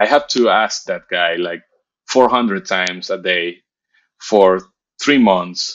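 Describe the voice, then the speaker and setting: A man with a Spanish accent speaks at a very slow pace in a fairly low pitch. Long pauses come often. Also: ordinary pitch variation. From Venezuela. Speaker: motion designer; interview guest. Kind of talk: interview. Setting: video call. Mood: relaxed, reflective. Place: home room. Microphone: video call.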